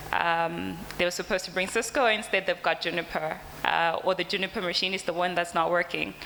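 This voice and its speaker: A woman speaks at a fairly low pitch with a bright, sharp tone and vocal fry. Her fairly quick delivery has hardly any pauses and fairly even intonation. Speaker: company representative presenting products. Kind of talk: conference presentation. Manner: hesitant, many fillers.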